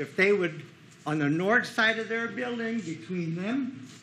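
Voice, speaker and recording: A loud, high-pitched man's voice at a fairly slow pace with lively intonation, audible room echo and noticeable background noise. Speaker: resident speaking at public comment. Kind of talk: public comment at council meeting. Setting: city council meeting room.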